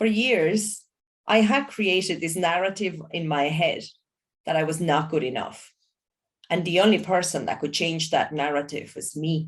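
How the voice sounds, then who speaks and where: A woman speaks at a moderate pace. She has a non-native accent. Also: fairly low pitch for a woman, ordinary pitch variation. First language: not English. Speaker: environmental education entrepreneur. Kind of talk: motivational talk.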